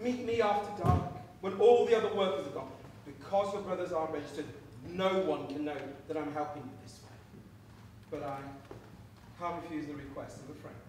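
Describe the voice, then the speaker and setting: A man talks at a fairly quick pace with big swings in loudness, audible room echo and light background noise. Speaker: stage actor. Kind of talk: theatrical dialogue, projected stage speech. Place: stage. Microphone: camera far.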